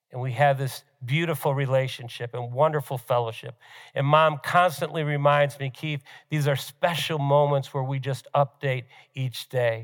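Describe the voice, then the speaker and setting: Here is an ordinary speaking voice from a man with fairly high pitch. He keeps a moderate pace and fairly even intonation. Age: 60s. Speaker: pastor. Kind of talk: sermon.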